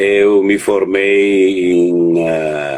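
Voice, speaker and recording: Recorded with a dry, close sound and no echo, a man speaks with an Italian accent at a very deep, low pitch. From Italy, Verona. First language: Italian (speaking Portuguese). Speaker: children's rights network coordinator. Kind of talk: interview on live stream. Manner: halting, many hesitations.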